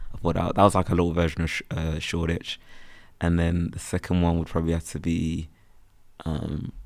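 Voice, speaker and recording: A man with a strong Birmingham accent, very deep and low in pitch, monotone and flat, at a fairly quick pace on a very clean recording with a silent background. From West Midlands, Birmingham. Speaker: freelance photographer and content creator. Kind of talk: casual chat. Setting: podcast recorded on campus. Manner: casual, filler-heavy speech.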